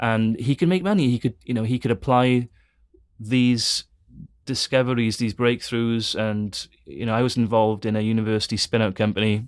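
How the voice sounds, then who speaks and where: A man with a Welsh accent talks at a moderate pace and a medium pitch, with ordinary pitch variation. The recording is very clean, with a silent background. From Wales. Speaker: theology school director and former engineer. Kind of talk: interview conversation. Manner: halting, many fillers and repeats.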